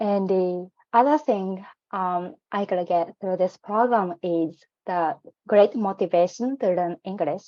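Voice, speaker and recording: Someone with a non-native accent talks at a fairly slow pace with ordinary pitch variation. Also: woman, medium pitch for a woman. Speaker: program alumna. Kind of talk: personal testimony in online info session. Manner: hesitant, many fillers.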